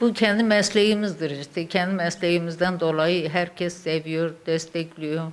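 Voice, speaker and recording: The delivery runs at a fairly slow pace. There are hardly any pauses. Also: woman. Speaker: weaving instructor. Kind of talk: interview answer. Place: workshop. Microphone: handheld.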